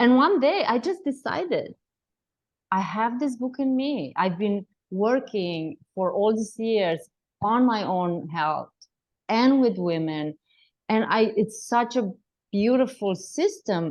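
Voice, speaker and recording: Speech comes at a very slow pace with long, frequent pauses and very wide pitch swings. The background is quiet. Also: woman. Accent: Romanian. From Romania. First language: Romanian. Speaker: health coach and author. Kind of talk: interview.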